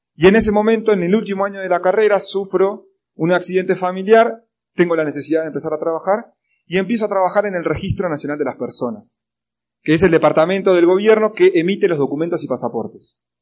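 At a very fast pace, a man with an Argentine accent talks in a high voice with ordinary pitch variation. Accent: Rioplatense Argentine Spanish. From Argentina, La Plata (Buenos Aires province). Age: 20s. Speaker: motivational speaker. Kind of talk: motivational talk. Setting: stage with audience.

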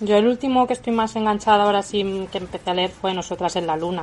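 A woman with a plain, everyday voice, medium pitch and fairly even intonation. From Spain, Toledo province. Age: 20s. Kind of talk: casual chat.

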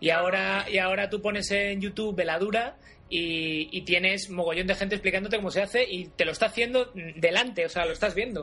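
A raised, projected voice with a bright, sharp tone moves at a fairly quick pace with fairly even intonation. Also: man, high pitch for a man. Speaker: podcast host interviewing miniature painters. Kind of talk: casual interview.

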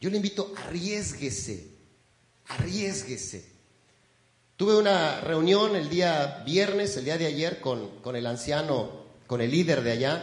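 A man talks at a very slow pace with a warm tone and vocal fry. His pitch swings very widely. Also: fairly high pitch for a man. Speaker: pastor. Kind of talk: sermon. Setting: church. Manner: warm, folksy and conversational, pausing and repeating words; earnest, exhorting the congregation.

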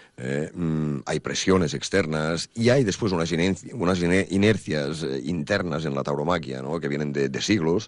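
Very deep and low in pitch, a man speaks fairly slowly with ordinary pitch variation. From Catalonia, Spain (Banyoles, Girona). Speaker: bullfighter's manager and musician, author. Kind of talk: radio interview. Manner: halting, many fillers.

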